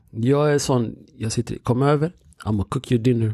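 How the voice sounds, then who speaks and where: In a dry, close sound with no echo, a man with a dark, mellow, somewhat breathy tone talks at a fairly quick pace with ordinary pitch variation. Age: 30s. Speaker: podcast host. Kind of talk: casual chat.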